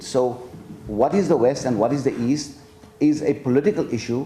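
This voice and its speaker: A man with a Gujarati accent, fairly high in pitch, at a very fast pace, with audible room echo. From South Africa. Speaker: professor. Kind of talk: lecture Q&A. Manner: halting.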